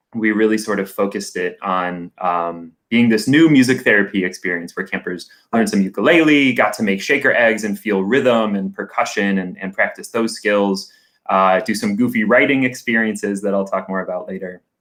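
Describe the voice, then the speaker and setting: With music in the background, the speech moves at a moderate pace with hardly any pauses. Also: man, fairly low pitch for a man, ordinary pitch variation. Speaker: camp operations coordinator. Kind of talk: interview. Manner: loud.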